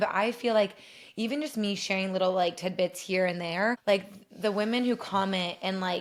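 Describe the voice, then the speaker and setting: With an American accent, a woman speaks in a medium pitch and fairly even intonation. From US Midwest, southeast Ohio. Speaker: dentist and podcast co-host. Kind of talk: casual chat. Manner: fast, filler-heavy.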